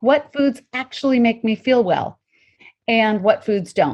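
Her normal speaking voice sits fairly high, and the woman talks at a moderate pace with ordinary pitch variation. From Colorado, US. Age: 50s. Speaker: intermittent fasting coach and author. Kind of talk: interview.

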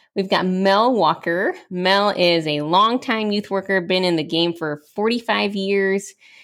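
A woman's medium-pitched, normal speaking voice at a fairly slow pace with hardly any pauses. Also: ordinary pitch variation. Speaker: podcast co-host. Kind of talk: casual chat.

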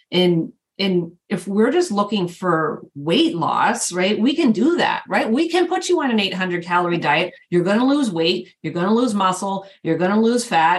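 A woman's somewhat breathy, medium-pitched voice, very even in loudness and lively in intonation, at a moderate pace with hardly any pauses. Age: 50s. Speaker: podcast host, fitness coach. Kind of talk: casual chat.

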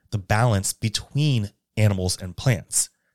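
Recorded very cleanly over a silent background with a dry, close sound and no echo, a man with an ordinary speaking voice and an American accent talks at a fairly low pitch with ordinary pitch variation. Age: 30s. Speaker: podcast host. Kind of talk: scripted narration.

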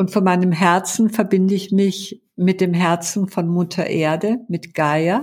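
The speaker goes at a fairly slow pace with hardly any pauses and fairly even intonation. The voice is somewhat breathy, on a very clean recording with a silent background. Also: woman, medium pitch for a woman. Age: 70s. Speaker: therapist and former interpreter. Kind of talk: interview. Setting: studio, sitting beside host.

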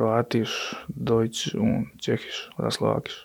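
A man whispers with a Croatian accent. His pace is very slow. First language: Croatian (speaking German). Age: 30s. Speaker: handball goalkeeper. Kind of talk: interview.

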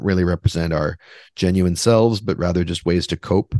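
Against a quiet background, a man with a very deep, low pitch and a Canadian accent talks at a moderate pace with fairly even intonation, the sound dry and close with no echo. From Western Canada, Vancouver. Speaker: author and composer. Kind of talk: interview conversation.

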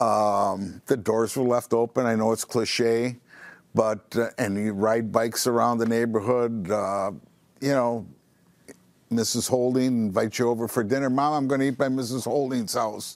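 In an ordinary speaking voice, a man holds a medium pitch, very even loudness and fairly even intonation at a moderate pace. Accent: American. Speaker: store manager. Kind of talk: casual interview.

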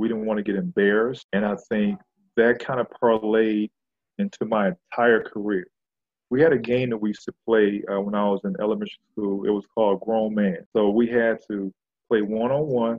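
This man has an ordinary speaking voice, fairly low in pitch. He talks at a moderate pace with fairly even intonation. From Flint, Michigan. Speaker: retired professional basketball player. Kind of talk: interview.

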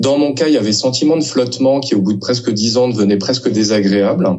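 Ordinary pitch variation from a man at a fairly quick pace, noticeable background noise behind him. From France. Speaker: novelist and literature teacher. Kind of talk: interview. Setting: book fair. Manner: hesitant, frequent word repetitions.

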